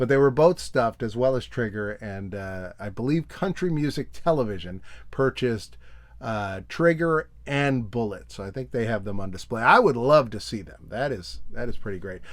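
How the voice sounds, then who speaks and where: A man with a normal speaking voice talks at a medium pitch and a moderate pace. His intonation is lively, with big swings in loudness on a very clean recording with a silent background. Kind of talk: casual talk to camera.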